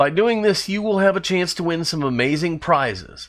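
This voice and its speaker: A man with an unremarkable speaking voice, fairly high in pitch, uses lively intonation on a very clean recording with a silent background. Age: 60s. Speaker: diecast customizer and video creator. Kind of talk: scripted narration.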